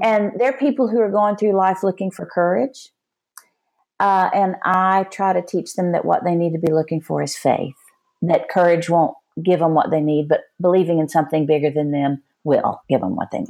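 Lively intonation at a moderate pace, in a Texan accent, over a quiet background. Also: woman, fairly low pitch for a woman. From Texas. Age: 60s. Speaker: Enneagram teacher and author. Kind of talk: interview.

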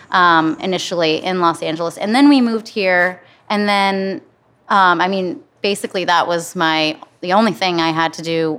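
The speaker uses an American accent at a moderate pace with ordinary pitch variation. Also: woman. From US Midwest, Flint, Michigan. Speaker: bar owner and designer. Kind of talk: casual interview. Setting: construction site of new bar.

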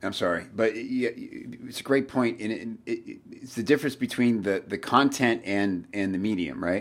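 A man talks at a fairly slow pace. He hardly pauses at all. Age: 40s. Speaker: podcast host. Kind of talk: casual chat.

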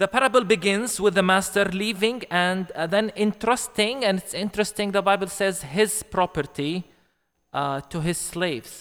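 A high-pitched male voice at a moderate pace with ordinary pitch variation. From Palestine, Bethlehem. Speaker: pastor. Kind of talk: sermon. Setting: church. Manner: halting, many fillers.

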